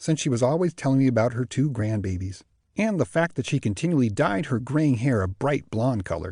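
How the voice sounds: In a natural reading voice, someone reads with lively intonation over a quiet background.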